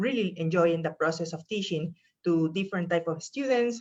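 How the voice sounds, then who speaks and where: With a strong Peruvian accent, a woman speaks at a fairly low pitch. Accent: thick Peruvian Spanish. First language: Spanish. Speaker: professor. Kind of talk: presentation talk.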